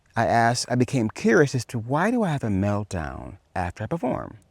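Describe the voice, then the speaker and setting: A man with a fairly low pitch, lively intonation and vocal fry is heard in a very clean, dry, close recording with no echo and a silent background. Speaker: personal growth video creator. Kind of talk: casual vlog monologue. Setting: outdoors walking in a forest. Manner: fast.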